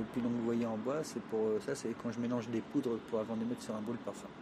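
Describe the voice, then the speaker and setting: Noticeable background noise accompanies a man speaking at a moderate pace with fairly even intonation. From France, Traveller community. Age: 50s. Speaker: fortune teller. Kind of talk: interview.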